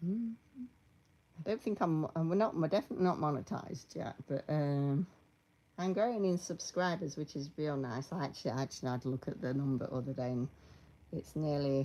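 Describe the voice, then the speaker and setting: A woman with a British accent, a very deep, low pitch, a dark, mellow tone, lively intonation and a fairly quick pace. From Britain. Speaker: YouTuber making costume tutorials. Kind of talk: casual live stream chat. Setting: at home, live stream.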